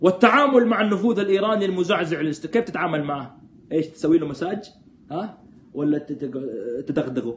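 Over light background noise, a man talks at a moderate pace with very wide pitch swings and long, frequent pauses. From Saudi Arabia, Jeddah; Saudi Arabia. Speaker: political commentator. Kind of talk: live stream commentary. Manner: animated. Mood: sarcastic, animated, critical. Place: home room. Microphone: phone near.

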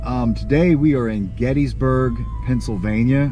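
A man at a fairly slow pace, dry with no echo, over noticeable background noise. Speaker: vlog host. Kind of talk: casual host introduction. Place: car. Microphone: phone near.

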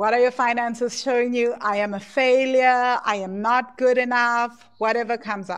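Against a quiet background, a woman speaks at a high pitch. Her intonation is flat and monotone. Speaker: course founder and money coach. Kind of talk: guided EFT tapping meditation, leading students through statements. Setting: live class recording replay. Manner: calm, slow, soothing; instructive, repetitive phrasing. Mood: emotional, slow, affirming. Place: home room. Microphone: earbuds.

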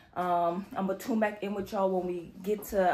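A woman speaks at a moderate pace with fairly even intonation. Audible room echo is present. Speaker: vlogger. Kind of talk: casual vlog chat. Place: home room. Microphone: phone near.

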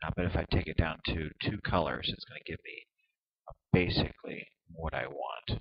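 A man's very deep, low voice with vocal fry, big swings in loudness, ordinary pitch variation and a moderate pace. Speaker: software tutorial video maker. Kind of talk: tutorial. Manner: hesitant, many fillers.

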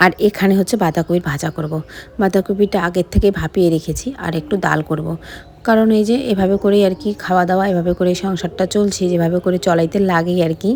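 A woman at medium pitch with a plain, everyday voice and fairly even intonation. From West Bengal, Alipurduar. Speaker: vlogger. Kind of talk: daily vlog voiceover. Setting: at home. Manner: casual, chatty.

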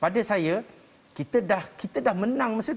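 The intonation is lively. The pace stays moderate. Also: man. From Malaysia. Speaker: marriage counsellor; talk show panelist. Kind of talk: panel discussion. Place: studio.

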